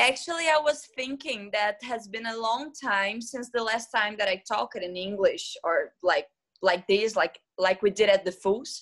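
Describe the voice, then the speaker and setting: A woman's fairly high voice, lively in intonation, at a fairly slow pace with hardly any pauses. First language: not English. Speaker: teacher and student. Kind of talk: casual chat.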